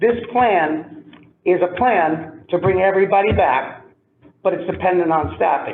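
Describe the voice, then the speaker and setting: A man speaks loudly at a high pitch. His pace is fairly slow and his pitch varies in an ordinary way. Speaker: school administrator. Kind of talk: public meeting discussion.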